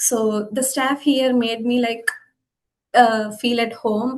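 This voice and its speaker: Her intonation monotone and flat, a woman speaks at a fairly high pitch. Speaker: international student. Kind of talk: webinar interview. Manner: halting.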